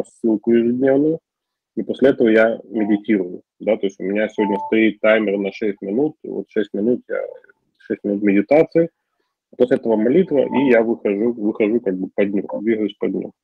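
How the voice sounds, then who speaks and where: At a moderate pace, the man talks in an unremarkable speaking voice, pitched at a medium level with ordinary variation. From Ukraine. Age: 40s. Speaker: recovering alcoholic speaker at support group. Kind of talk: personal testimony.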